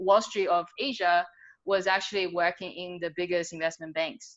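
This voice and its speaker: A woman with a slight Australian accent talks at a fairly quick pace in a medium pitch with a bright, sharp tone. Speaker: business coach. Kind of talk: podcast interview. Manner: casual, filler-heavy.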